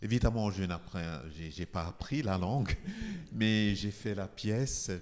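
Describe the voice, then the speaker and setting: A man with a Nigerian accent talks at a fairly low pitch. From Nigeria, Igbo. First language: Igbo (speaking French). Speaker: composer. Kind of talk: interview talk. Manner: halting.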